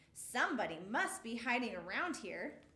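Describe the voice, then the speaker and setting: A woman puts on a character voice, high-pitched and swinging very widely in pitch. She talks at a moderate pace, and the sound carries an audible echo. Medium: read story.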